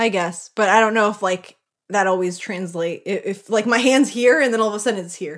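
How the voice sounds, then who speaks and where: Her loudness swinging widely, a woman talks in a normal speaking voice at a medium pitch. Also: ordinary pitch variation, fairly quick pace, very clean recording, silent background. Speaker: podcast co-host. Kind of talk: casual chat.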